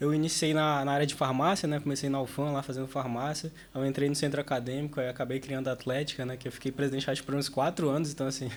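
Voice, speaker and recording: A man with a fairly high pitch talks at a very fast pace with hardly any pauses. His intonation is monotone and flat, with noticeable background noise. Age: 20s. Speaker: university student and student leader. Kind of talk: casual podcast interview. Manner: casual, filler-heavy.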